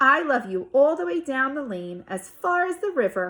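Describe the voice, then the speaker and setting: A woman performs a put-on character voice with a high pitch. Her pitch swings very widely. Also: moderate pace. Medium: read story. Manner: eager, affectionate.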